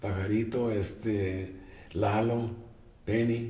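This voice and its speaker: A man with a medium-pitched voice talks in a room with audible echo. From Mexico, Tijuana. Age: 70s. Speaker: jazz guitarist. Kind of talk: interview. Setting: at home.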